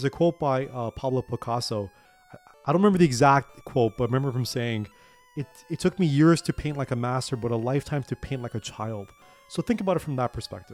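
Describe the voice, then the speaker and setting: Over music in the background, a man talks at a very fast pace and medium pitch with ordinary pitch variation, the sound dry and close with no echo. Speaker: gaming channel host. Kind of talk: book summary monologue with gameplay commentary. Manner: halting, with repetitions and fillers.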